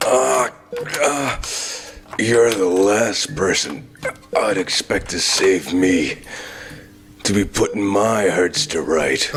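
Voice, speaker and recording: A man does a put-on character voice, raspy and fairly low in pitch, over clear background noise. He goes at a very slow pace with long, frequent pauses. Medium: fan dub. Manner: grim, blunt.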